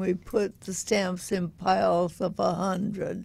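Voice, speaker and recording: Every word comes out at a very slow pace. The voice carries an American accent. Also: woman. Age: 90s. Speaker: collage artist. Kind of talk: casual interview.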